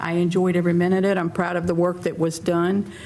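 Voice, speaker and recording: A woman with an American accent speaks at a moderate pace and fairly low pitch. Her intonation is fairly even over noticeable background noise. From US South, North Carolina. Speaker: restaurant owner, town council member. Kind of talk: candidate forum opening statement.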